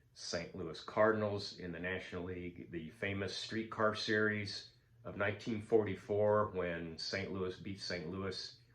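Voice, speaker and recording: At a fairly slow pace, a man with a fairly low voice speaks with fairly even intonation amid audible room echo. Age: 70s. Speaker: sports card collector. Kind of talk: casual vlog monologue. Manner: halting, many fillers.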